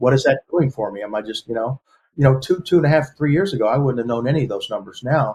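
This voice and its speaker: Speaking at a very fast pace, a man with an American accent sounds somewhat breathy and uses ordinary pitch variation. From Texas, Galveston. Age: 60s. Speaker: lawyer. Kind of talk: interview. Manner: halting.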